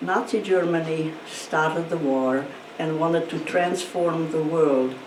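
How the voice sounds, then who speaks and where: A woman with a Hungarian accent speaks at a fairly slow pace in a very deep, low pitch with ordinary pitch variation. Noticeable background noise and audible room echo are present. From Hungarian-speaking region of Eastern Europe, now Ukraine. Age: 90s. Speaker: Holocaust survivor and speaker. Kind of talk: testimony talk to students. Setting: school virtual presentation.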